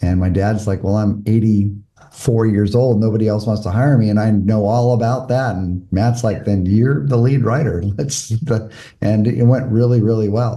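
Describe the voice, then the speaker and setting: This man has a fairly low, somewhat breathy voice with a dark, mellow tone and an American accent. He talks at a moderate pace with hardly any pauses and fairly even intonation, and the room echo is audible. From US West Coast, Malibu, California. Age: 60s. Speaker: former mayor and volunteer firefighter, podcast guest. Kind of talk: interview conversation.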